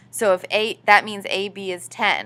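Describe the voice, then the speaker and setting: The woman's voice has a bright, sharp tone. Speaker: high school math teacher. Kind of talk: tutorial. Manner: fast.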